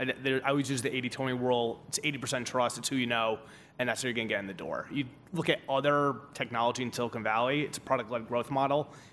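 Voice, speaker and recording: Speaking very fast with a New Jersey accent, a man holds a medium pitch and fairly even intonation against noticeable background noise. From Newark, New Jersey. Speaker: venture capital investor. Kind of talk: panel discussion. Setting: conference stage with audience.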